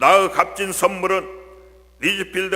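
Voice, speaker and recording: A man's raised, projected voice, high in pitch and very slow, over noticeable background noise. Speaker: church deacon. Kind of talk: testimony.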